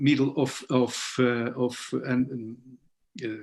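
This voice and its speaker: A man with a non-native accent, speaking at a very slow pace. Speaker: guitarist and conference presenter. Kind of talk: conference Q&A. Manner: halting, many fillers.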